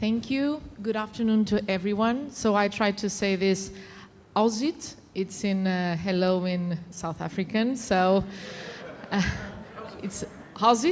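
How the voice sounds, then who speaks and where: A woman with a non-native accent speaks at a fairly slow pace, pausing long and often. Her pitch is medium, with ordinary variation. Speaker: conference panelist. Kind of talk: panel talk.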